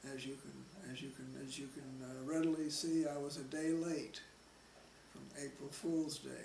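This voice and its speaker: Over audible room echo, a man with an American accent speaks at a moderate pace and a fairly high pitch, flat and monotone but with big swings in loudness. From Nebraska, Omaha. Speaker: oral history interviewee. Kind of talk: oral history interview. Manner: halting, repeats words.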